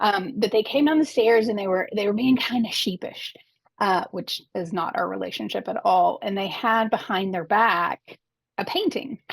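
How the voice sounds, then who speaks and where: The speaker has an American accent and a normal speaking voice. The pace is moderate and the intonation lively. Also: woman, fairly high pitch for a woman. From Arkansas, US South. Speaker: advocate, former librarian. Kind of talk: interview.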